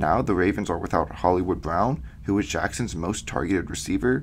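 A man speaks at a very deep, low pitch with vocal fry. His pitch swings very widely at a fairly quick pace. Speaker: football podcast host. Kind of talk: solo podcast analysis. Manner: fillers, reading prepared notes.

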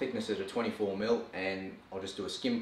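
A man at a moderate pace, audible room echo and light background noise behind him. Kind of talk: tutorial. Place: workshop.

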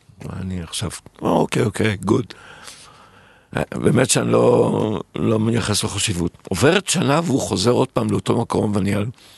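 A man's fairly low voice with very wide pitch swings and vocal fry. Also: moderate pace. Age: 60s. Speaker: restaurateur and entrepreneur. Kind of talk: interview.

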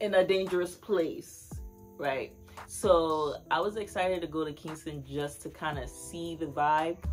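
Fairly even intonation over faint music in the background. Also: woman, fairly low pitch for a woman. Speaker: travel vlogger. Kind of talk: casual vlog chat. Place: home room. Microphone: phone near.

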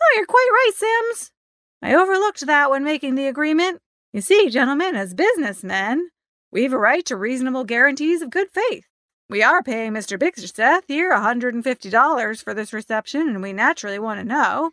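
In a put-on character voice with a bright, sharp tone, the speaker moves at a fairly quick pace with lively intonation, the sound dry and close with no echo.

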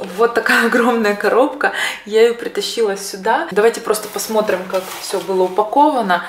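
Audible room echo and light background noise surround a woman's fairly high voice. She talks at a moderate pace with ordinary pitch variation. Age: 30s. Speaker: beauty vlogger. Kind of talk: product unboxing. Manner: casual, some filler hesitations. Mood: cheerful, enthusiastic. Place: home room.

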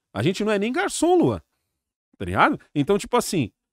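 With an animated tone and a fairly quick pace, a man speaks in a dry sound with no echo over a quiet background. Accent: Brazilian. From Brazil. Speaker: YouTuber. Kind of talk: casual chat. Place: studio. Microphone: studio mic.

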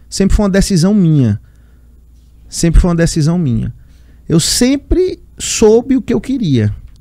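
Over a quiet background, a man with a high pitch and a dark, mellow tone speaks at a moderate pace with very wide pitch swings, the sound dry with no echo. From Piauí, Brazil (Teresina). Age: 20s. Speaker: state politician. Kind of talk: interview. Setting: studio. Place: studio. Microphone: studio mic.

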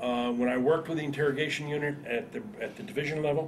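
This man speaks at a very fast pace with an American accent. His pitch is fairly high, with light background noise. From northern New Jersey. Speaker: war veteran. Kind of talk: oral history interview. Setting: veterans reunion. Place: home room.

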